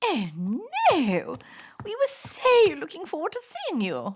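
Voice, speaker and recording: A woman performs a cartoonish character voice at an extremely high pitch, her loudness swinging widely as sound effects play in the background. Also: fairly slow pace. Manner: posh, gushing.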